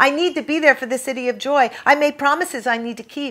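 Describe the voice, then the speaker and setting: A woman's raised, projected voice, bright and sharp in tone, at a fairly quick pace. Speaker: author. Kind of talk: memoir reading by the author. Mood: dramatic, emotional delivery. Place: home room.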